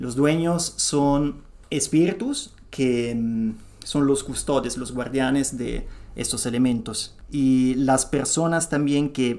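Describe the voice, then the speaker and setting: Speaking at a very slow pace, a man with a fairly high pitch and a dark, mellow tone shows ordinary pitch variation. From Italy. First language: Italian (speaking Spanish). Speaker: podcast guest speaking about traditional medicine. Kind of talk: explanatory interview talk. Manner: halting, with many fillers and restarts.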